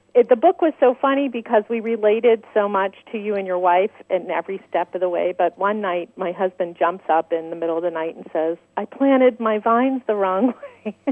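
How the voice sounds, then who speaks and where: Over music in the background, a woman with an American accent talks at a fairly quick pace and medium pitch, with ordinary pitch variation and hardly any pauses. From US Midwest, Minnesota. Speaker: vineyard owner, caller. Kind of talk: radio call-in. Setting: phone call.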